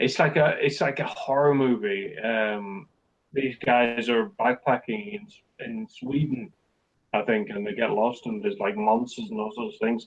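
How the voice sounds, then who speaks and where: This man talks at a moderate pace in a Scottish Borders accent. His medium-pitched voice has lively intonation. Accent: border accent, Scottish-tinged English. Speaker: crime short story writer. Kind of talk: casual interview chat. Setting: remote call. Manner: hesitant, self-deprecating.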